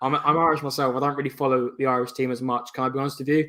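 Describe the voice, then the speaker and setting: In an English accent, a man speaks at a very fast pace with a fairly high pitch. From England. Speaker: football podcast panelist. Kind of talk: casual chat.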